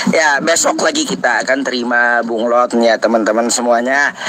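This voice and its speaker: His pitch varies in an ordinary way. Noticeable noise sits behind the man's speech. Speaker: Islamic preacher hosting live Q&A stream. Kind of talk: live stream chat with callers. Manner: casual, animated.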